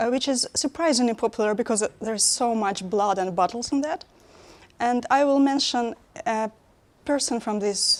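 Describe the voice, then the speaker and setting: Her voice sits fairly high, and her pitch varies in an ordinary way. The woman talks at a moderate pace. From Russia. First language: Russian. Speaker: conference speaker, web developer. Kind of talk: conference talk. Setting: stage with audience. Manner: halting.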